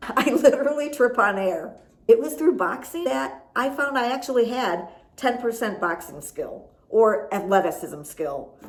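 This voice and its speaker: With audible room echo and noticeable background noise, a woman with an American accent speaks at a fairly slow pace in an animated, fairly high voice with very wide pitch swings. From US Midwest, Chicago. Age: 50s. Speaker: boxing fitness coach. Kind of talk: motivational vlog.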